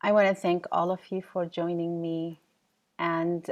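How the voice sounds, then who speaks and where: A woman with an Arabic accent speaks in a fairly low voice against a quiet background. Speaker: professor and keynote speaker. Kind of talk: keynote lecture.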